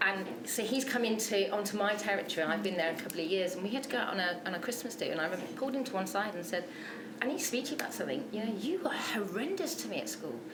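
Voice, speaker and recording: Loud and very fast, a woman speaks at a fairly high pitch amid noticeable background noise and audible room echo. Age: 30s. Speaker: interviewee with bipolar disorder. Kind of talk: interview. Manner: loud, high energy.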